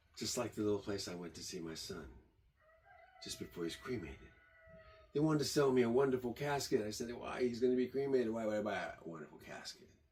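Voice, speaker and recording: Speaking very fast, a man with a medium pitch uses lively intonation and big swings in loudness. He takes long, frequent pauses, and background noise is noticeable. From born in Germany, raised partly in Michigan. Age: 70s. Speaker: tiny house builder and vlogger. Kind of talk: rambling monologue.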